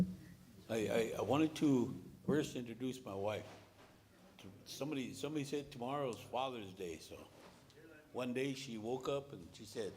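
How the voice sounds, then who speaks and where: Speaking at a moderate pace with an American accent, a man uses a medium pitch and ordinary pitch variation, with long, frequent pauses, big swings in loudness and audible room echo. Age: 70s. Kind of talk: meeting speech. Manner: halting.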